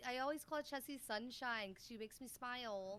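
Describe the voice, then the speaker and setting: Loud and animated, a woman with a high pitch and a bright, sharp tone talks at a fairly quick pace with ordinary pitch variation. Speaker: podcast co-host and streamer. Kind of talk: casual chat. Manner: loud, animated.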